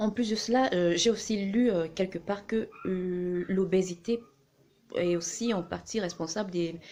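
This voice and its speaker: A woman's voice has a dark, mellow tone and fairly even intonation. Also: medium pitch for a woman. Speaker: vlogger. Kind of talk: casual talk to camera. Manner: fast; hesitant, many fillers.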